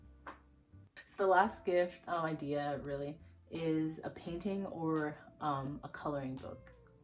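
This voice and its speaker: With music in the background, the voice holds fairly even intonation while its loudness swings widely. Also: woman, very deep, low pitch for a woman. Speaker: lifestyle YouTuber. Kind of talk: casual vlog talk to camera. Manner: fast; rambling, halting with fillers.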